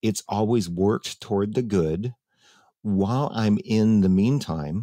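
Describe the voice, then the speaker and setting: Against a quiet background with a dry, close sound and no echo, a man talks fairly slowly in a dark, mellow tone with ordinary pitch variation and very even loudness. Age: 60s. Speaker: talk show host. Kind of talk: casual chat. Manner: halting.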